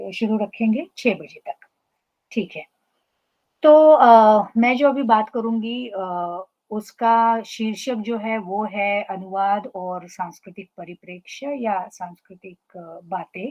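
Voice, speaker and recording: A woman's fairly high voice, ordinary in its pitch variation, with big swings in loudness. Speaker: professor. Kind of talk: lecture. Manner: halting, frequent fillers.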